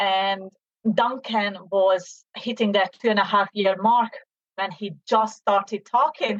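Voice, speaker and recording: With a Hungarian accent, a woman at a medium pitch speaks at a very slow pace and with fairly even intonation. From Hungary, Debrecen. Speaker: business owner, mother. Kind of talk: interview.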